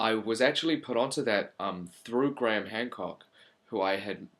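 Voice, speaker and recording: A man with a New Zealand accent speaks at a moderate pace in a very clean recording with a silent background. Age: 20s. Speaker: channel presenter. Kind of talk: casual monologue to camera. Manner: hesitant, many fillers.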